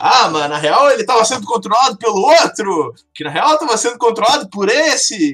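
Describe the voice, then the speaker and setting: A man's raised, projected voice with very wide pitch swings. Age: 20s. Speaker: computer science student. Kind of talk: casual chat.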